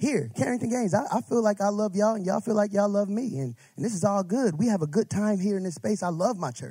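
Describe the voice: Someone reads aloud plainly. There is ordinary variation in the pitch.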